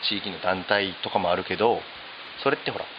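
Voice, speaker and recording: The speech comes at a fairly quick pace. Noticeable background noise is present. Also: man. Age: 30s. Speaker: hairdresser. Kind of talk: casual chat.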